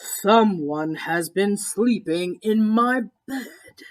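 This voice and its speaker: This put-on character voice has a fairly high pitch and moves at a very slow pace. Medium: read story.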